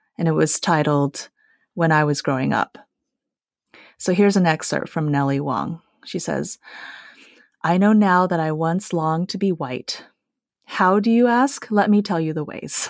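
A woman with a fairly low voice and lively intonation talks at a moderate pace. She takes long, frequent pauses, and the recording is very clean with a silent background. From Taiwan-born, raised in Utah and California. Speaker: film producer and screenwriter, feminist reader. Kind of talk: casual book discussion.

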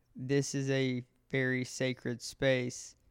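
A man with an American accent speaks in a flat monotone. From rural Kentucky. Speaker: medical student and trip sitter. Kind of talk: interview answers. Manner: halting.

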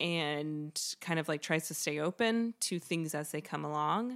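With an American accent, a woman talks at a fairly slow pace in a very deep, low pitch. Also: very clean recording, silent background. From US South, Greenville, South Carolina. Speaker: actor and theater maker. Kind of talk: casual chat.

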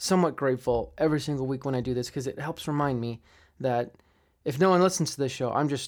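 Reading in a natural voice, the speaker shows ordinary pitch variation.

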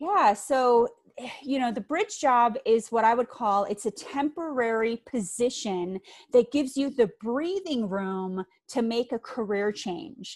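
A woman with an American accent speaks at a fairly slow pace in a high voice with lively intonation. The recording is very clean, with a silent background and a dry, close sound with no echo. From US Midwest, Green Bay, Wisconsin. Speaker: career coach. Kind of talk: interview.

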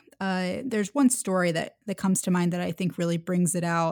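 Speaking very fast at a medium pitch with ordinary pitch variation, a woman is heard in a dry, close sound with no echo on a very clean recording with a silent background. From US South, Atlanta, Georgia. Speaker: author and diplomacy advocate. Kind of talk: interview conversation.

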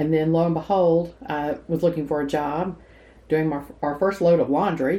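With a Southern US accent, a woman speaks at a moderate pace in a fairly low pitch, her tone dark and mellow and her intonation fairly even. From Nashville, Tennessee. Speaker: retired gift shop owner. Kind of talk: casual interview.

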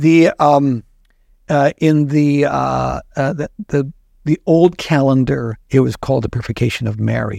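A man with an American accent speaks at a fairly slow pace, his pitch fairly high with ordinary variation. His tone is dark and mellow, and the sound is dry and close with no echo. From South Dakota, US Midwest. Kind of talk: casual chat. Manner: hesitant, many fillers.

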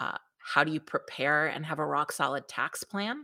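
In a very clean recording with a silent background and a dry, close sound free of echo, a woman speaks fairly slowly with a New York accent. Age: 40s. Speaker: business coach. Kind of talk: interview.

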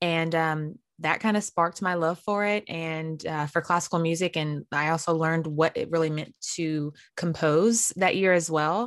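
In an unremarkable speaking voice, a woman with an American accent talks at a moderate pace and a fairly low pitch with fairly even intonation, in a very clean recording with a silent background. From North Carolina, US South. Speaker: composer and pageant winner. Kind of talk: interview.

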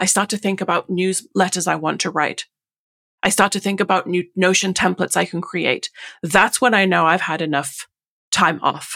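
A woman with an English accent speaks in a medium pitch with fairly even intonation and a bright, sharp tone. The sound is dry and close with no echo, on a very clean recording with a silent background. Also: moderate pace. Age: 40s. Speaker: Notion consultant. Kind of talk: casual interview chat.

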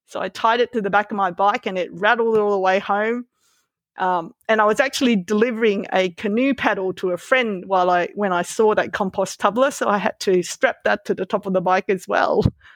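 In an Australian accent, a woman of medium pitch speaks at a fairly quick pace with fairly even intonation, the sound dry and close with no echo over a quiet background. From Malaysia, raised in Melbourne from age twelve. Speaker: veterinarian. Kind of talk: interview conversation. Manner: hesitant, with fillers and repeats.

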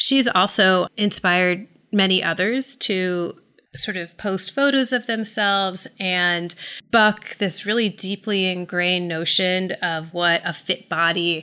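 A woman with an American accent, bright and sharp in tone, at a very slow pace. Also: medium pitch for a woman, ordinary pitch variation. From US South, Atlanta. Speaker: journalist and author. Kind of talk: interview.

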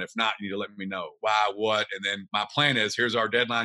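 With a Kentucky accent, a man speaks at fairly low pitch in a bright, sharp tone and a monotone, flat intonation. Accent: Kentucky Southern US. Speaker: real estate investor. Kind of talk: interview.

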